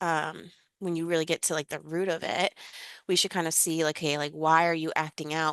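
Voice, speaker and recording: A woman with an American accent speaks at a very deep, low pitch and a fairly quick pace, with fairly even intonation. The sound is dry and close with no echo, and the background is quiet. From New York. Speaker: webinar presenter. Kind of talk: informal presentation, many fillers. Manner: fast talker.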